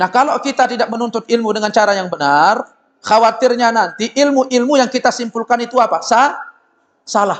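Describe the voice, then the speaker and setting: This man speaks loudly and at a fairly quick pace, in an extremely high pitch. His tone is animated, with ordinary pitch variation. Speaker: Islamic preacher. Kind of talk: sermon. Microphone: loud microphone, briefly cutting out.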